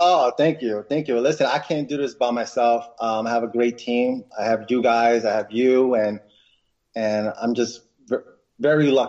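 A man's plain, everyday voice in an American accent, medium in pitch, at a moderate pace with fairly even intonation. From New York, Westchester County. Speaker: inventor entrepreneur. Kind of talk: interview.

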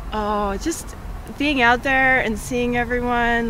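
A woman with a fairly high voice talks fairly slowly. Audible room echo and noticeable background noise accompany her. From Canada, southern Alberta. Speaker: ultramarathon runner. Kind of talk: post-race interview.

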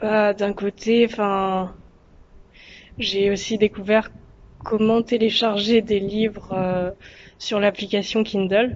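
Very slow and broken by long, frequent pauses, a woman's medium-pitched speech keeps a monotone, flat intonation. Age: 20s. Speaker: history student. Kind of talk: recorded video testimony.

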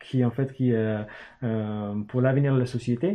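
With an English accent, a man speaks at a moderate pace. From northern England, Newcastle. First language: English (speaking French). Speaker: startup founder. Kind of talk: casual interview.

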